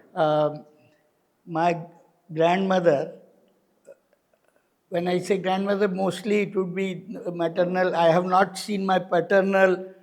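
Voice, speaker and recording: Very slow delivery in a monotone, flat intonation. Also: man. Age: 60s. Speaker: activist. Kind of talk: interview. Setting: studio. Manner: halting, many fillers.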